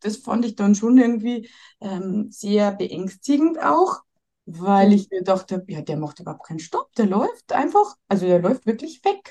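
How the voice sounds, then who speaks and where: At a fairly slow pace, a woman with a medium pitch speaks in a dark, mellow, somewhat breathy tone with lively intonation. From Bavaria. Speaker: mother seeking family advice. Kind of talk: coaching conversation.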